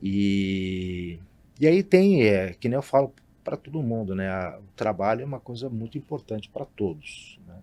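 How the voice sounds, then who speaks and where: A man with a plain, everyday voice speaks slowly at a fairly low pitch, with lively intonation and big swings in loudness. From Brazil, São Paulo state (Marília). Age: 50s. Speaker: hotelier. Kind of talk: interview. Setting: studio.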